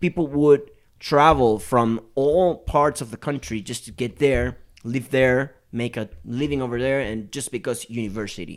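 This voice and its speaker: A man with a Spanish accent speaks at a moderate pace and a medium pitch. His pitch varies in an ordinary way, and the recording is very clean with a silent background. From Venezuela, Maracaibo (Zulia state). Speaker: musician, bass player. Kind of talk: casual chat. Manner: halting, with hesitations and repeats.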